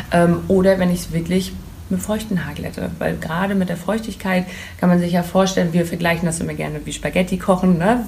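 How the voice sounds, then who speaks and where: Through audible room echo and noticeable background noise, a woman talks at a fairly quick pace. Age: 30s. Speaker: hair tool sales representative. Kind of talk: casual interview. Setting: hair salon boutique.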